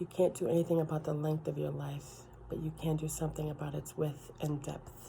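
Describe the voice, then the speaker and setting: Soft-spoken, a woman talks at a moderate pace. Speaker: ASMR creator. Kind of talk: casual ASMR talk to camera.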